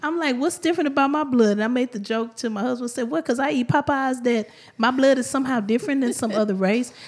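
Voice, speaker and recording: A woman with an American accent, animated tone, high pitch, very fast pace and ordinary pitch variation. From Houston, Texas (Third Ward). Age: 40s. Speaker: hairstylist. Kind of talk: testimony.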